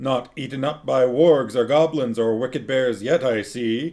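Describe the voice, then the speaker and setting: A man puts on a booming character voice at a medium pitch, speaking at a moderate pace with ordinary pitch variation. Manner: jovial, teasing.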